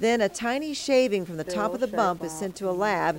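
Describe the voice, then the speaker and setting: Her pitch swings very widely as the woman talks at a fairly quick pace. Noticeable background noise is present. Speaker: TV news anchor and health reporter. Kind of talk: TV health news report narration.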